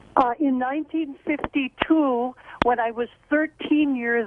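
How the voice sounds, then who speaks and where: Over noticeable background noise, a woman talks at a fairly slow pace in a high pitch with ordinary pitch variation. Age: 70s. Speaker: caller. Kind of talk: call-in. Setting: phone call.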